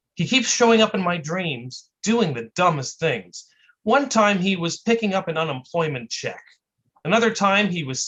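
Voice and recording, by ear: The text is read aloud in a natural voice. Pitch varies in an ordinary way against a quiet background.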